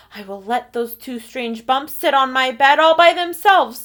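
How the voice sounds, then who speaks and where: A woman speaks at a moderate pace in a put-on character voice pitched high. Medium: read story. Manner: anxious.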